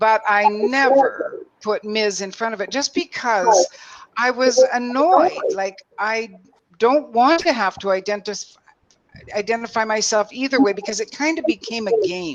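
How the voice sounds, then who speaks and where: A woman's fairly high voice at a fairly slow pace with lively intonation. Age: 60s. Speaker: voice coach working with women. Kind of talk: roundtable discussion. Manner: animated.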